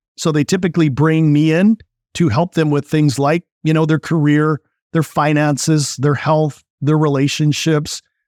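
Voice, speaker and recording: Heard dry and close with no echo, a man speaks at a moderate pace in a fairly high voice with a dark, mellow tone. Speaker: business coach and real estate investor. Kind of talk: podcast interview.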